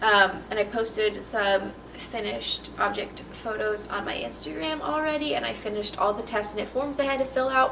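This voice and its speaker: A woman's fairly high voice at a moderate pace with hardly any pauses, plus noticeable background noise and audible room echo. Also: ordinary pitch variation. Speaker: knitting podcaster. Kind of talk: casual chat.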